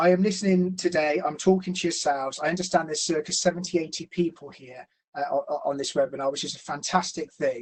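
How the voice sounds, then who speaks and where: The delivery is very fast, in a Gloucestershire accent. Pitch variation is ordinary. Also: man. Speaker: financial planner. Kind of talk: educational webinar presentation. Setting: online webinar. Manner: hesitant, many fillers.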